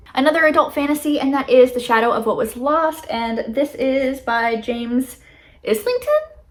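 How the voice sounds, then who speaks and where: High for a woman, her voice shows ordinary variation in pitch. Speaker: booktuber. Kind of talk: casual vlog book haul. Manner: fast; filler-heavy casual, frequent um.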